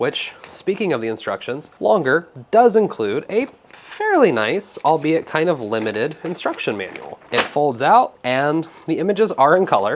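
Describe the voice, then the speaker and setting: A man with a fairly high pitch speaks at a moderate pace, his pitch swinging very widely. He hardly pauses, and there is noticeable background noise. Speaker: maker tech reviewer. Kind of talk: casual product review to camera. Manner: upbeat, casual.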